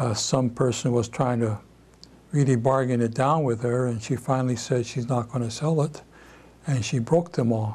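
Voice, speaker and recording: In a Pacific Northwest accent, a man talks at a moderate pace with a medium pitch, fairly even intonation and a somewhat breathy quality. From Seattle, USA. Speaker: civil rights leader. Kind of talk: oral history interview answer. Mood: reflective, calm recollection. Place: home room.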